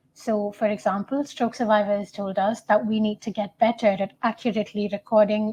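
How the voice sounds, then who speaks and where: A woman with a Tamil accent speaks at a fairly high pitch, her voice somewhat breathy. The background is quiet. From India. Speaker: student researcher. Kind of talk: conference talk.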